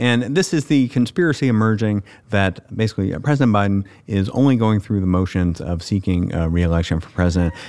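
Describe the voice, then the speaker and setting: Speaking with lively intonation, a man with an American accent has an ordinary speaking voice and a fairly low pitch. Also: fairly quick pace. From US South. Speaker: magazine editor. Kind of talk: casual chat.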